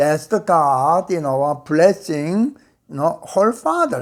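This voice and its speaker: A man talks with a non-native accent. His pace is very slow. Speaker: Bible teacher. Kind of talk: lecture. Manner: halting, many fillers.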